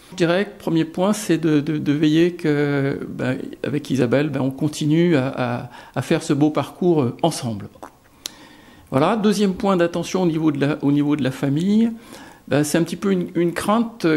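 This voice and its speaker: A man talks fairly slowly, his fairly high pitch showing ordinary pitch variation. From France, Lyon. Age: 60s. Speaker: deacon candidate. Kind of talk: testimony. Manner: halting, many hesitations.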